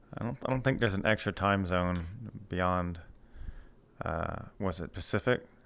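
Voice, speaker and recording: Recorded very cleanly over a silent background, a man with an American accent and a very deep, low pitch talks at a moderate pace with ordinary pitch variation and long, frequent pauses. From US Deep South. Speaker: streamer interviewer. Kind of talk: casual interview. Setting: VR live interview.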